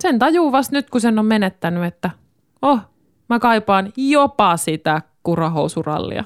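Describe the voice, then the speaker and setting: A woman with a fairly high pitch swings very widely in pitch at a fairly slow pace and very even loudness, the sound dry and close with no echo. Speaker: radio host. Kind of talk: casual chat. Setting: home studio.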